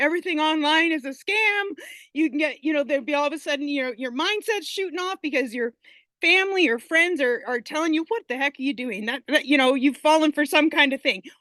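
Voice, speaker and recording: A woman speaks in a high, bright and sharp voice, raised and projected, with an animated tone, ordinary pitch variation and a fairly quick pace, in a dry, close sound with no echo. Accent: Canadian. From Canada. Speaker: online business student sharing success story. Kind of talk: testimony.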